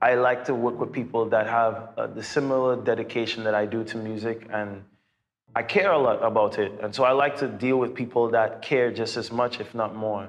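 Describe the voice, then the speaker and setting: A man's medium-pitched voice with a Trinidadian accent, fairly even intonation and a moderate pace. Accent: Trinidadian island. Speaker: singer and YouTuber. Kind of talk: Q&A vlog, casual talk to viewers.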